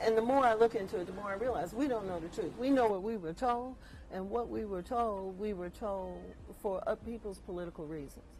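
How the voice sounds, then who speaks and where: A fairly quick woman's voice with audible room echo. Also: medium pitch for a woman, ordinary pitch variation. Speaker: guest speaker on lynching history. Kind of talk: presentation talk.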